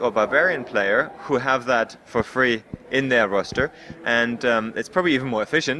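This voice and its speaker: Very even loudness over noticeable background noise. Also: man. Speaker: game developer. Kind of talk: interview.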